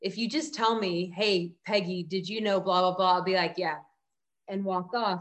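A woman speaks at a medium pitch in an unremarkable speaking voice against a quiet background. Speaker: podcast host and headshot photographer. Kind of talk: casual interview conversation.

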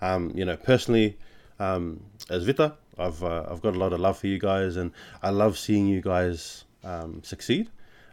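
With an Australian accent, a man speaks at a moderate pace in a very deep, low voice. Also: ordinary pitch variation. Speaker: podcast host. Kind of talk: casual chat.

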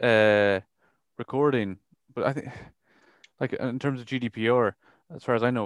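Talking at a fairly quick pace, a man with an Irish accent comes through with a dry, close sound and no echo. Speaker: radio host. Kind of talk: casual chat; show announcements.

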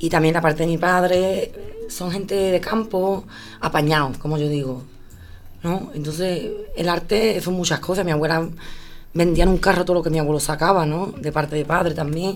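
A woman with an ordinary speaking voice and a fairly low pitch talks at a moderate pace, her intonation fairly even. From Andalusia, Spain. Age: 30s. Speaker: flamenco singer. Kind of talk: interview.

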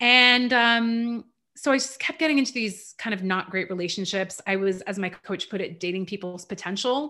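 A woman speaks with a bright, sharp tone at a medium pitch and ordinary pitch variation. The recording is very clean, with a silent background. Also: moderate pace. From Canada. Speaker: life coach and former opera singer. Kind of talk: casual chat.

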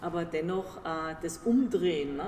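A woman speaks in a fairly low voice. Audible room echo and noticeable background noise surround her. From Germany, Nuremberg (Franconia). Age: 50s. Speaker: business executive. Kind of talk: interview.

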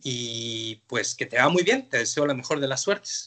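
A man's bright, sharp voice, fairly high in pitch, comes at a fairly slow pace. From Mexico, Mexico City. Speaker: visual artist. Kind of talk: interview. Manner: halting, many fillers.

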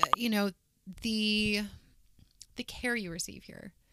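In a Midwestern American accent, a woman speaks with ordinary pitch variation. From Kansas, Wichita. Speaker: clinic manager. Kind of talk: casual interview.

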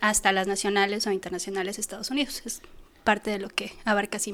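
Her voice fairly high and her pace fairly quick, a woman talks in an unremarkable speaking voice. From Mexico City. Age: 40s. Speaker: mountaineer. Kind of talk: interview.

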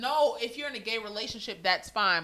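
A woman talks in an animated tone with lively intonation at a fairly quick pace. Noticeable background noise runs behind her. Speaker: podcast host. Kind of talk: casual banter. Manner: animated, joking.

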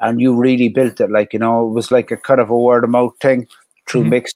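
Delivered very fast in a Cork accent, the speech has a monotone, flat intonation and a dry, close sound with no echo. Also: man. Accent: Cork Irish. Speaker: DJ. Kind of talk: casual chat.

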